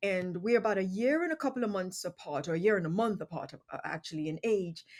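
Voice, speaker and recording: A woman with a British accent talks very fast at a medium pitch, her intonation lively. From England, London area. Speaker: podcast host. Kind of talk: casual interview conversation. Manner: hesitant, many fillers.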